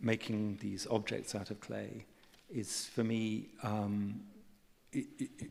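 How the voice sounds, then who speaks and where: Speaking at a very slow pace, a man delivers his words at a fairly low pitch in a southern British accent. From England. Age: 60s. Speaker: artist and writer. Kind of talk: on-stage conversation. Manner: halting, many repetitions and fillers.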